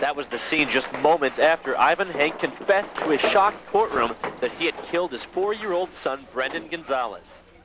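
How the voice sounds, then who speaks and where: A man speaks with hardly any pauses over noticeable background noise. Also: moderate pace. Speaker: TV news reporter. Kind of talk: TV news report.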